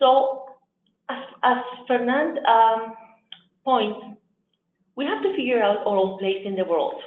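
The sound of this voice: A slow-paced voice with audible room echo. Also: woman, fairly high pitch for a woman, ordinary pitch variation.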